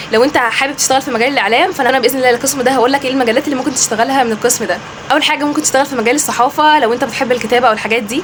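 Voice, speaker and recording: Over noticeable background noise, a woman talks very fast with hardly any pauses. Her voice is high, with fairly even intonation. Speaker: educational YouTuber. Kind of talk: informational vlog.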